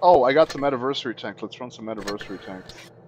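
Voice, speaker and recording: His pitch shifts in an ordinary way. The man speaks very fast. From Bulgaria. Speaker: gaming streamer. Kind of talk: casual live-stream chat with gameplay. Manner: halting, many fillers.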